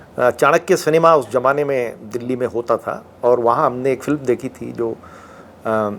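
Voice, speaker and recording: With an ordinary speaking voice, a man holds a mid-range pitch and moves it in a typical way. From Uttarakhand, Garhwal (Mussoorie). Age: 60s. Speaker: retired police chief. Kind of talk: interview.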